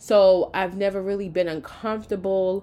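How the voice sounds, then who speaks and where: Speaking at a fairly slow pace, a woman with a medium-pitched voice is heard on a very clean recording with a silent background. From New York. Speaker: podcast host. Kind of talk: solo podcast monologue.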